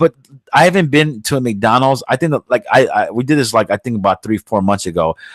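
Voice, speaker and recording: Recorded with a dry, close sound and no echo, a man talks in a New York accent. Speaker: podcast host. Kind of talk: casual chat. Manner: fast; loud.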